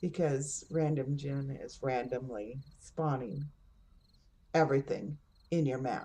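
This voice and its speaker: A woman talks in a very deep, low, somewhat breathy voice with fairly even intonation. She leaves long, frequent pauses. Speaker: gaming streamer. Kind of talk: gameplay commentary. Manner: casual with fillers.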